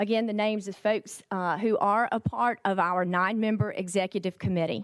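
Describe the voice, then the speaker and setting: With fairly even intonation, a woman speaks at a medium pitch and a fairly quick pace against a quiet background. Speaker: agricultural trade association executive. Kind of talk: committee testimony presentation. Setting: legislative hearing room. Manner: fast.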